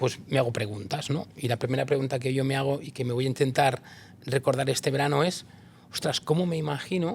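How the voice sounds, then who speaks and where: A somewhat breathy man talks fairly quickly at a medium pitch, his intonation fairly even. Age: 50s. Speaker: interviewer, people and organisation consultant. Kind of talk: interview conversation.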